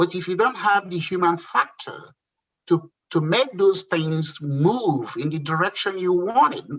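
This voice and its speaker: A man with a Nigerian accent, high-pitched, with lively intonation and a fairly slow pace. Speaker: entrepreneur. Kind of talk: interview.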